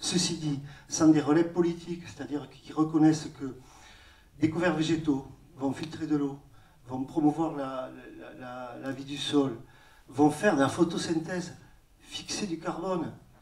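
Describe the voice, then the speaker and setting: A fairly high-pitched man's voice at a fairly slow pace, with fairly even intonation, big swings in loudness, and long, frequent pauses. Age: 50s. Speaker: organic farmer. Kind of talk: round-table discussion. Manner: halting.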